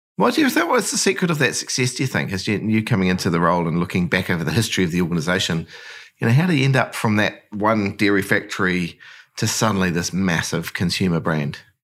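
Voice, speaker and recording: A man with a New Zealand accent talks at a very fast pace and a fairly low pitch, with ordinary pitch variation and very even loudness, on a very clean recording with a silent background. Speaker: podcast host. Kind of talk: interview.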